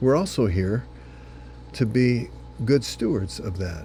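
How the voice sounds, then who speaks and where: Over music in the background, a man talks at a fairly slow pace and a fairly low pitch, his pitch swinging very widely. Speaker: senior pastor. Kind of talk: short devotional sermon.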